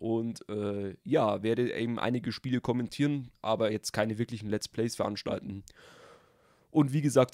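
On a very clean recording with a silent background and a dry, close sound with no echo, a man with an ordinary speaking voice talks at a moderate pace at medium pitch with fairly even intonation. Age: 20s. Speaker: gaming YouTuber. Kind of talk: channel intro vlog. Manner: casual.

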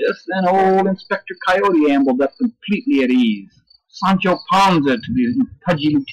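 Someone is reading aloud in a natural voice while the background stays quiet.

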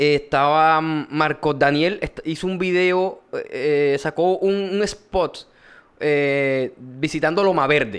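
A man in a Colombian Caribbean accent speaks at a very slow pace and a fairly high pitch, with ordinary pitch variation. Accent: Colombian Caribbean (costeño) Spanish. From Colombian Caribbean coast, Córdoba. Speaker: podcast host. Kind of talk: casual chat. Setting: studio.

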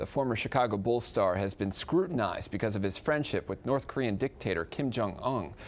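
Fairly quick, lively speech with hardly any pauses from a man of medium pitch. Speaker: TV news anchor and reporter. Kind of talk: TV news anchor read. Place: studio. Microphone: lapel.

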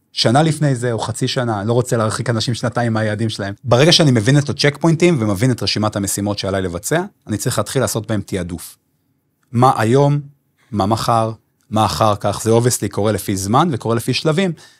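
Speaking fairly quickly, a man keeps his pitch variation ordinary. Nothing else can be heard in the background. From Israel, Bnei Brak; Israel. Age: 30s. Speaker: business consultant and event producer; podcast guest, music coach. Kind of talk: podcast interview. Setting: studio. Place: studio. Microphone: studio mic.

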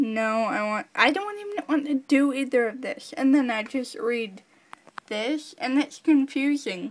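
At a fairly slow pace, a woman with a high pitch speaks with lively intonation. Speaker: YouTuber. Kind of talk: rant. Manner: animated.

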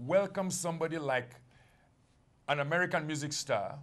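This is a man with a normal speaking voice. His pitch sits rather high, his speed is moderate, and his pitch varies in a normal way. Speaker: congregation member reading scripture; TV ministry host reading a viewer's dream. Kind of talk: reading aloud scripture. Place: studio. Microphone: lapel.

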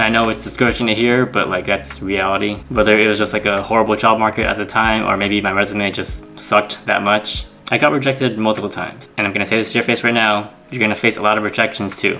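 A man with a fairly low voice talks at a very fast pace with hardly any pauses and fairly even intonation, over faint background music. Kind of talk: casual vlog chat. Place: home room.

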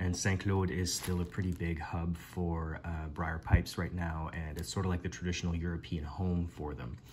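Very deep and low in pitch and somewhat breathy, a man speaks at a moderate pace with fairly even intonation over light background noise. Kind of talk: casual vlog chat. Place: home room. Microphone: phone near.

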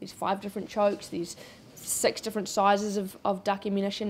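Here a woman speaks with a New Zealand accent at a fairly quick pace. Light background noise can be heard. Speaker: shooting sports retailer and clay target shooter. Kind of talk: interview. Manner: animated. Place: shop.

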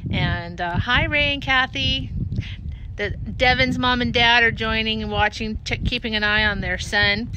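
Fairly slow speech, dry sound with no echo, and noticeable background noise. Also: woman. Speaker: resort host. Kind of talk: casual livestream chat. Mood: warm, upbeat. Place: waterside. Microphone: phone near.

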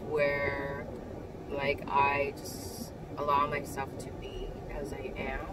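A woman talks at a very slow pace. Loud background noise runs underneath her. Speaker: vlogger. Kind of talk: casual reflective vlog chat. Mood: calm, reflective. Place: car. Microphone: phone near.

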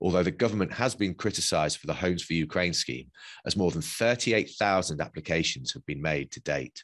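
Over a quiet background, a man with a British accent speaks at a fairly quick pace in a very deep, low pitch with vocal fry and big swings in loudness. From UK, Polish family. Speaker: podcast host. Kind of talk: scripted narration. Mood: serious, measured. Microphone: webcam.

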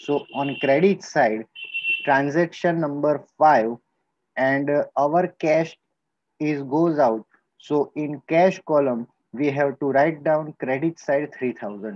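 With an Indian accent, a man speaks at a very slow pace with long, frequent pauses, in a dry sound with no echo over a quiet background. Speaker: school teacher. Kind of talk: lecture. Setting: recorded video lesson. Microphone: webcam.

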